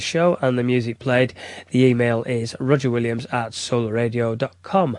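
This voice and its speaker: This is a male voice. It sits at a medium pitch. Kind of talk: radio DJ patter, warm and polished, back-announcing tracks and plugging the sponsor. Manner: relaxed, enthusiastic, fluent and conversational, like a music fan sharing favourites.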